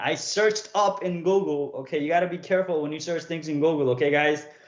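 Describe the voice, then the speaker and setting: A man with a fairly high pitch speaks at a fairly quick pace and ordinary pitch variation. Noticeable background noise is present. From Nepal (Bhutanese refugee camp), moved to US at ten. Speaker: teacher or coach. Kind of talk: live stream talk to students.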